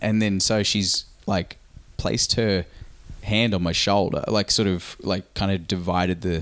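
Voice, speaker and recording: The man's voice sits fairly low. He talks at a fairly slow pace. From Australia. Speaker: podcast host and pro wrestler. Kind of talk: casual chat.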